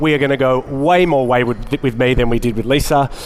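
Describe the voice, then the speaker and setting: Over noticeable background noise, a man talks at medium pitch with ordinary pitch variation. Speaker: market research executive. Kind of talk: conference keynote. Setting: stage with audience.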